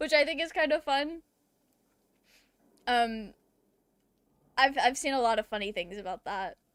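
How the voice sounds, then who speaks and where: A woman speaks at a moderate pace in an American accent, her pitch high. The sound is dry and close with no echo, and she leaves long, frequent pauses. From US South. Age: 30s. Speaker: video game streamer. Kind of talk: casual chat.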